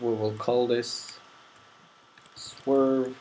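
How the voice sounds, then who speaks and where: The speaker has a non-native accent and talks at a very slow pace. Noticeable noise sits in the background. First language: not English. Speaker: game development tutorial maker. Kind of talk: tutorial. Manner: casual, thinking aloud.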